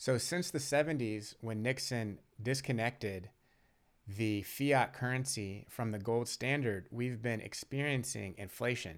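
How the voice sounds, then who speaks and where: On a very clean recording with a silent background, a man speaks fairly slowly at medium pitch with ordinary pitch variation. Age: 30s. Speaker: podcast host. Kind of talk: casual monologue. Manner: animated.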